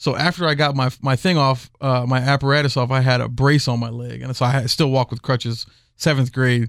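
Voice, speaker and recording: In a very clean recording with a silent background, a man with an American accent and an ordinary speaking voice talks fairly quickly at a medium pitch, with fairly even intonation. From Houston, Texas. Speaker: cigar salesman. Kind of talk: casual chat. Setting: studio.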